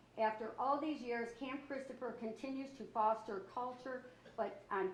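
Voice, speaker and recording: With an American accent, a woman of fairly high pitch speaks at a moderate pace with ordinary pitch variation amid audible room echo. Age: 60s. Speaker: county council president. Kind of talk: council meeting, reading commendation. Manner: halting, stumbling reading.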